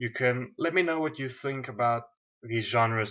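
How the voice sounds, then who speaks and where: A man talks at a medium pitch, varying it in an ordinary way. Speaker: anime reviewer. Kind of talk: casual video monologue. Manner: halting, many fillers.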